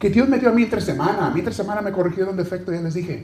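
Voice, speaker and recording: A man's animated-sounding voice. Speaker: preacher. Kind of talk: sermon. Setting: church. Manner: animated, exhorting, conversational with the congregation; asks questions and addresses listeners directly.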